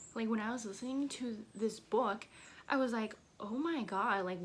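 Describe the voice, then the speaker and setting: A woman talks at a moderate pace, her voice somewhat breathy and fairly high. Her pitch moves in an ordinary way. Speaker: booktuber. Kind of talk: casual book review vlog. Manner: chatty, filler-heavy.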